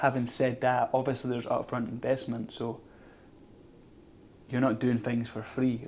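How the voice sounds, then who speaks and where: The man speaks at a fairly slow pace in a monotone, flat intonation. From Scotland. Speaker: vlogger. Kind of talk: casual vlog monologue. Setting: outdoors.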